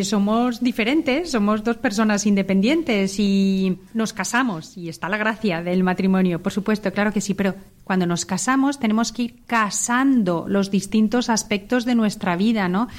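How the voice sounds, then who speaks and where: A woman with a plain, everyday voice speaks at a moderate pace with hardly any pauses, her pitch fairly high and her pitch variation ordinary. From Spain, Zamora. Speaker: vocational school teacher and mother. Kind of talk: radio panel conversation.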